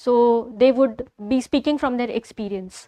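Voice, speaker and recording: A woman speaks at a moderate pace in a high voice with fairly even intonation. The sound is dry and close with no echo, and music plays in the background. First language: not English. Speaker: entrepreneur. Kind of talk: interview. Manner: halting.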